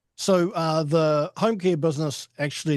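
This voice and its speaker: Here is a man speaking. He talks with a New Zealand accent. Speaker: home care agency director. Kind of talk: webinar presentation. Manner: halting, many fillers.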